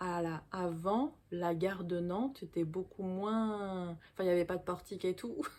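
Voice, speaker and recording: Her pitch is medium for a woman. This woman's voice rises and falls in an ordinary way. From Paris suburbs, France. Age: 40s. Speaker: vlogger. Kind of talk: casual personal storytelling to camera. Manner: casual, hesitant with fillers.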